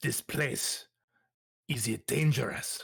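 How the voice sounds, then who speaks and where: A man speaks in a put-on character voice, raspy in texture. His pitch sits fairly high for a man. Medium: actual play. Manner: stiff, formal, no contractions.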